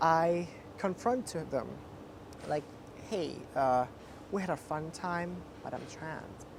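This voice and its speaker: A woman with a fairly low pitch speaks at a very slow pace, with ordinary pitch variation and long, frequent pauses. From Thailand, Chiang Mai. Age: 20s. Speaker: interviewee, transgender woman. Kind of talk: interview.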